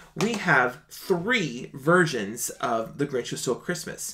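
Bright and sharp in tone, a man speaks with lively intonation. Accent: American. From Minnesota, small town outside Minneapolis. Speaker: singer and online show host. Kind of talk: casual livestream monologue. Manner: animated. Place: home room.

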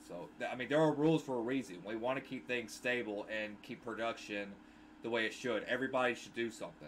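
A man at a very fast pace with ordinary pitch variation, over light background noise. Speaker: gaming YouTuber and streamer. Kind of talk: casual vlog rant. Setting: solo video monologue. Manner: insistent, repetitive, defensive; stumbling, hesitant with many fillers. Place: home room. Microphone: headset.

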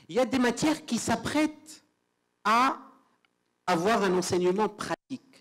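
Over a quiet background, a man speaks with lively intonation at a fairly slow pace. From Tunisia. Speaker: law lecturer; panelist, law lecturer. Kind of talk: conference presentation; panel discussion. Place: hall.

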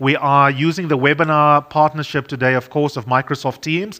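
Over a quiet background, a man speaks in a fairly high voice with a bright, sharp tone. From South Africa. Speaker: radio broadcaster and panel moderator; radio broadcaster, panel moderator. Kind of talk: moderated panel discussion. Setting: studio for online webinar.

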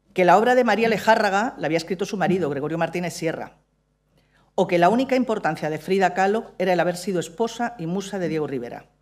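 A woman at a very fast pace over a quiet background. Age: 60s. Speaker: playwright and stage director. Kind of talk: keynote speech read aloud. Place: stage. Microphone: podium.

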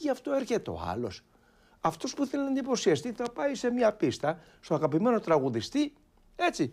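Very broad pitch swings from a man with a high voice, delivered at a moderate tempo. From Istanbul, Turkey (Greek minority). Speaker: Byzantine church chanter; guest. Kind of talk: interview. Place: studio. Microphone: lapel.

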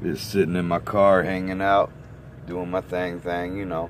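Over noticeable background noise, a man with a very deep, low pitch talks at a fairly slow pace in a dry sound with no echo. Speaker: vlogger. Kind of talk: casual vlog chat. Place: car. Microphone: phone near.

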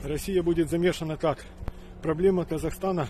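A man's fairly high voice at a moderate pace, with fairly even intonation, a dry sound with no echo and light background noise. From Ukraine. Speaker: video blogger. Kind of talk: monologue to camera. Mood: serious, worried. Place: open country. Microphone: phone near.

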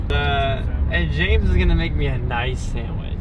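Loud background noise accompanies a man talking at a fairly quick pace, though the sound is dry with no echo. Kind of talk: casual vlog chat. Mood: playful joking. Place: car. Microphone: phone near.

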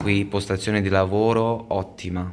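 Light background noise sits under speech at a fairly slow pace. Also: man. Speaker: vlogger and computer repair technician; vlogger. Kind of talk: casual vlog talk to camera. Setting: in a car. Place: workshop. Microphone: phone near.

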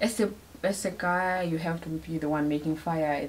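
A woman speaks with a Namibian accent at a very deep, low pitch. Her intonation is fairly even, with light background noise behind her. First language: Oshiwambo. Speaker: video blogger. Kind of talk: casual chat. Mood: warm, playful. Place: home room. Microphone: camera far.

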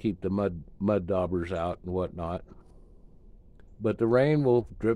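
A man's fairly low, dark, mellow voice at a fairly slow pace, with a dry sound and no echo. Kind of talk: casual vlog tour narration. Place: workshop. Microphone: phone near.

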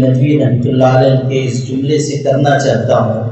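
The intonation is monotone and flat. This voice belongs to a man. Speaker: Islamic scholar. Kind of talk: public speech to an assembly.

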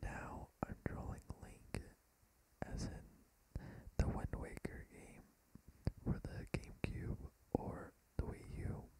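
Whispering at a very slow pace, a man leaves long, frequent pauses while his loudness swings widely. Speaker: ASMR creator / YouTuber. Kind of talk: casual talk to camera. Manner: soft-spoken, whispered. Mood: relaxed, a bit tired. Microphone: phone near.

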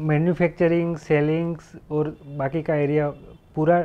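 A man with a Gujarati accent speaks at a moderate pace in a fairly high pitch. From Gujarat, India (Junagadh district, rural); Gujarat, India. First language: Gujarati (speaking Hindi). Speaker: guest. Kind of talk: interview. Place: office.

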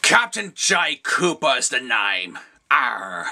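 A put-on character voice at a very slow pace. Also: man, medium pitch for a man.

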